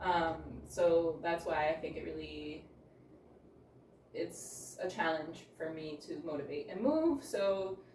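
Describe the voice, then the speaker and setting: A woman speaks at a very slow pace, with noticeable background noise behind her. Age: 40s. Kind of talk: casual talk to camera. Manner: hesitant, reflective.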